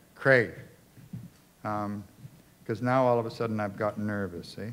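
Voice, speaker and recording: In a Canadian accent, a man speaks at a moderate pace with a medium pitch and fairly even intonation. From British Columbia, Canada (North Shore, Vancouver). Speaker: community organizer. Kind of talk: public talk. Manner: casual, conversational.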